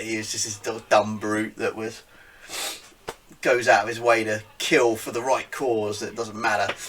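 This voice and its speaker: A man with a British accent speaks at a moderate pace and medium pitch over noticeable background noise. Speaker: geek culture podcast host. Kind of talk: casual talk to camera.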